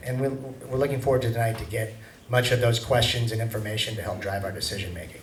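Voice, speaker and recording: A man with an American accent talks at a very fast pace and a medium pitch, with noticeable background noise and audible room echo. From US Pacific Northwest. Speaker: golf course developer presenting a proposal. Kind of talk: public meeting presentation. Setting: public meeting in a hall.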